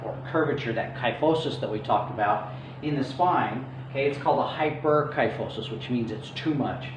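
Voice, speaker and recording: Amid noticeable background noise and audible room echo, a man talks at a fairly quick pace. His pitch is fairly high, with ordinary variation. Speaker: chiropractor. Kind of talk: health lecture with slides. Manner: fast; casual with fillers.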